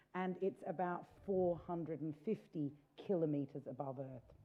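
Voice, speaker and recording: The pace is fairly slow as a woman speaks. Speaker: space tourism entrepreneur. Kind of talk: panel discussion. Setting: stage with audience. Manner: loud.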